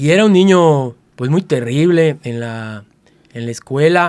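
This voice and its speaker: Fairly high-pitched speech from a man, with ordinary pitch variation. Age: 60s. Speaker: martial artist. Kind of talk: interview storytelling. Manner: halting, many fillers.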